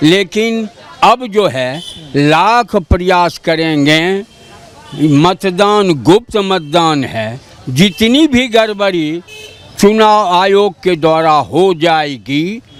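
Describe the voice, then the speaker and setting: Against noticeable background noise, a man speaks with a high pitch. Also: lively intonation. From Bihar, Begusarai. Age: 70s. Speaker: local voter. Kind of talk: street interview.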